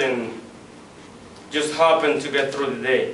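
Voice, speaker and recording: Over noticeable background noise, a man with a non-native accent speaks with fairly even intonation. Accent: non-native English speaker. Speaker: student. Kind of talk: persuasive class speech.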